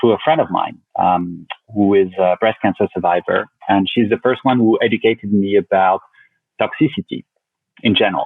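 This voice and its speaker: A man at a moderate pace, with very even loudness and ordinary pitch variation. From France, Paris. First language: French. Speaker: company founder. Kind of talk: podcast interview. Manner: halting, many fillers.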